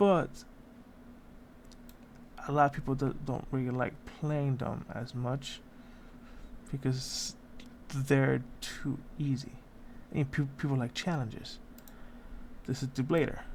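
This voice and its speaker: The pace is very slow. Long pauses come often. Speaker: gamer, video game commentator. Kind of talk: casual gameplay commentary. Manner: hesitant, stuttering.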